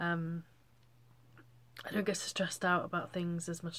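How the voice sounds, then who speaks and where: In an English accent, a woman with a fairly low pitch talks fairly quickly in a monotone, flat intonation. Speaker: vlogger. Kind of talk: casual chat. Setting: bedroom. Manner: halting.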